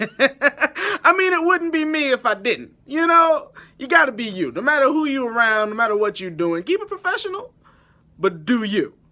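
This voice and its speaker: With a raised, projected voice at an extremely high pitch, a man speaks at a moderate pace in a bright, sharp, animated tone full of very wide pitch swings. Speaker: film vlogger. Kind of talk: casual vlog intro. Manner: loud.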